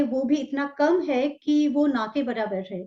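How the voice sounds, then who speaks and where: A high-pitched woman with a Bengali accent. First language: Bengali (speaking Hindi). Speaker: talk show host. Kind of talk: interview.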